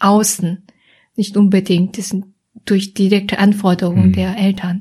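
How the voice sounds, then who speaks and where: With a Korean accent, a woman speaks at a medium pitch in a monotone, flat way, her tone dark and mellow and somewhat breathy. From South Korea, Seoul. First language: Korean (speaking German). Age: 30s. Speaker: psychologist. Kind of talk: casual interview. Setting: her office.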